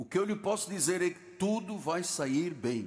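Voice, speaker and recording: Fairly slow delivery with lively intonation and audible room echo. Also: man. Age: 70s. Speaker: pastor. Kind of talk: sermon. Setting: church.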